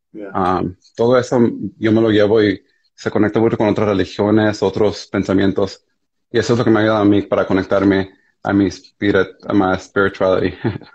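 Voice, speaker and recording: A man talks with a fairly low pitch in a flat monotone. The background is quiet. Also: moderate pace. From United States (raised), born in Mexico. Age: 20s. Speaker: primary school teacher; guest. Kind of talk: casual conversation. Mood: reflective, earnest. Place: home room. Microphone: video call.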